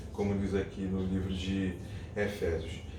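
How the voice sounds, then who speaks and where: A soft-spoken man talks at a moderate pace with a fairly low pitch. Audible room echo and noticeable background noise surround him. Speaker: lay church devotional leader, father. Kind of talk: devotional talk. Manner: hesitant, many fillers.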